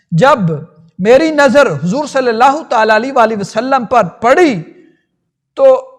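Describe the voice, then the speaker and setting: This man's voice is extremely high in pitch, with ordinary pitch variation. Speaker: islamic scholar. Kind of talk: religious storytelling lecture. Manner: soft-spoken.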